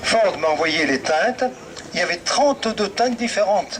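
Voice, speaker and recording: The voice moves at a moderate pace with very wide pitch swings, over noticeable background noise. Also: man. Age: 80s+. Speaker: vintage car commentator. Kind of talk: live commentary to audience.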